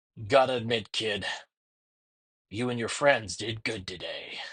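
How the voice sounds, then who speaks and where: A man puts on a gruff, raspy character voice at a medium pitch and a moderate pace. His intonation is fairly even, while his loudness swings widely. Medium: read story. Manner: smug, gruff.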